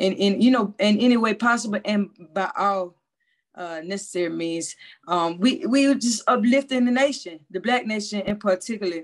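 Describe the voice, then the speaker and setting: Medium-pitched woman's voice with ordinary pitch variation at a moderate pace. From US South, Mobile, Alabama. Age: 30s. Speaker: filmmaker and community organizer. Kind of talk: casual chat.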